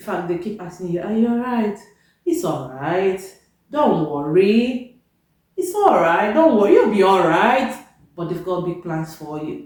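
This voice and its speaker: A woman in a Nigerian accent speaks at a moderate pace and a medium pitch. Her pitch swings very widely, with audible room echo around her. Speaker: vlogger, nurse. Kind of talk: casual vlog talk to camera. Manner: loud; animated.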